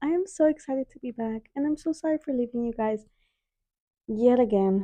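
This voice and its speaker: Dry and close with no echo, a woman's voice has a dark, mellow tone and lively intonation at a moderate pace. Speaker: podcast host. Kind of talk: casual chat. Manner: loud; animated.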